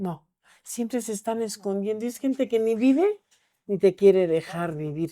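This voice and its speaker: On a very clean recording with a silent background, a woman speaks at a fairly high pitch in a dark, mellow tone with ordinary pitch variation. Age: 80s+. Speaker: Santa Muerte devotee and altar keeper. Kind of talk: casual chat.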